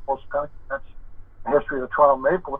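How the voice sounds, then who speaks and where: This is a man's voice. His pitch is fairly high. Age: 60s. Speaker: former hockey scout and junior team GM. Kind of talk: casual interview.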